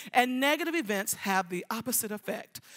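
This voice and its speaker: Her fairly high voice has a bright, sharp tone and very wide pitch swings as this woman talks at a moderate pace, on a very clean recording with a silent background. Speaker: nonprofit center director and business owner. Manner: passionate, bold.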